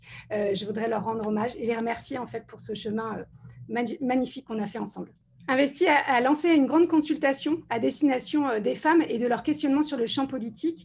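Her voice is high-pitched with ordinary pitch variation. The woman speaks at a moderate pace. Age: 40s. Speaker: political candidate. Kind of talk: panel discussion.

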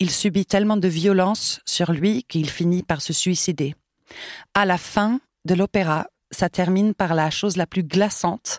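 A woman uses a normal speaking voice at a medium pitch and a fairly slow pace, her loudness very even. The recording is very clean, with a silent background and a dry, close sound with no echo. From Sweden. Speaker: choir director. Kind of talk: interview.

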